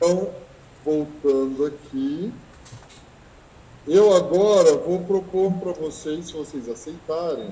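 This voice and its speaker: High-pitched male voice at a very slow pace, ordinary pitch variation and audible room echo. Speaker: teacher and researcher. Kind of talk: online lecture. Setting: video call from school. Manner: halting.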